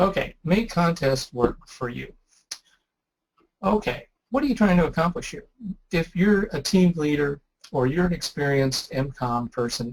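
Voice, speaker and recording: Somewhat breathy and lively in intonation, a man speaks at a fairly slow pace. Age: 60s. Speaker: ham radio presenter. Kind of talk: webinar presentation. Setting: online webinar. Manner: casual, conversational.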